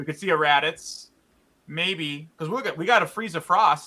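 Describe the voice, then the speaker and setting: This man has a bright, sharp tone and a fairly high pitch. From Chicago. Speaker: podcast host. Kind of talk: casual chat.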